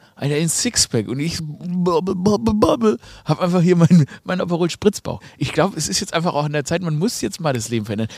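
A man speaks at a moderate pace with a high pitch, an animated tone and lively intonation. The sound is dry and close, with no echo. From Swabia, Germany. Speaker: podcast host. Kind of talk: casual comedic chat.

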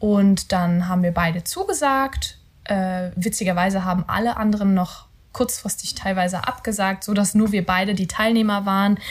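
At a moderate pace, a woman speaks at a medium pitch in a somewhat breathy voice, her intonation fairly even and her loudness very even. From Rhineland, Germany (near Cologne). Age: 20s. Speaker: podcast co-host, virtual assistant. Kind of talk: casual chat. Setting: home bedroom recording.

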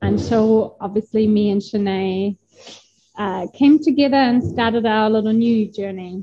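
A woman with a German accent speaks at a medium pitch, her dark, mellow tone somewhat breathy. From northern Germany. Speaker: graphic designer and food business founder. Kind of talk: interview chat. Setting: kitchen. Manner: hesitant, many filler sounds.

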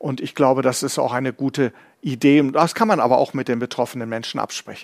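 A man with an ordinary speaking voice and a fairly high pitch speaks at a moderate pace. The sound is dry and close with no echo, on a very clean recording with a silent background. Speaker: professor and physician co-host. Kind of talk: live quiz-show hosting.

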